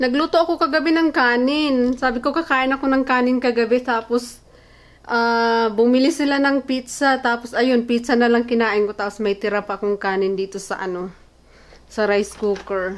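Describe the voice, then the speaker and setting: A woman talks at a moderate pace in a high voice with ordinary pitch variation. Background noise is noticeable. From Philippines. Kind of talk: casual vlog talk to camera.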